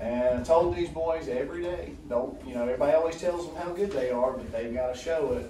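A man talks with ordinary pitch variation, his voice carrying audible room echo over light background noise. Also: hardly any pauses. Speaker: middle school basketball coach. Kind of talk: informal remarks at meeting. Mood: proud, relaxed. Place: meeting room. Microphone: camera far.

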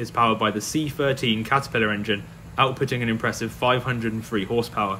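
Fairly even intonation comes from a man, with light background noise underneath. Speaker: farming video channel host. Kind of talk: documentary narration.

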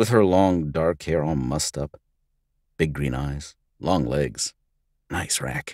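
A man speaks at a fairly slow pace, the sound dry and close with no echo. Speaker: voice actor; audiobook narrator. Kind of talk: audiobook narration, hard-boiled noir first-person story.

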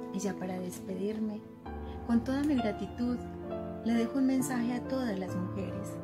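A woman with an Antioquian accent speaks with long, frequent pauses over clear music in the background. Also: moderate pace. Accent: Colombian, Antioquia. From Colombia. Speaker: poet. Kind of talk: closing message. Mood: grateful, inspirational. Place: home room. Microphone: phone near.

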